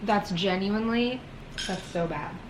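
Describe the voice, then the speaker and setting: A woman talks at a fairly slow pace, with noticeable background noise and audible room echo in the recording. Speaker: wellness vlogger. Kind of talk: vlog. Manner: casual.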